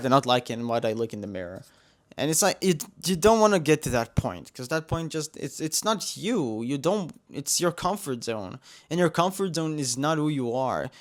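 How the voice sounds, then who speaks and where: Very wide pitch swings mark this Israeli-accented voice, set against a very clean recording with a silent background. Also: man. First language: Hebrew. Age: 20s. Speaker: vlogger. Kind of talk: personal vlog monologue. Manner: halting, many fillers and restarts.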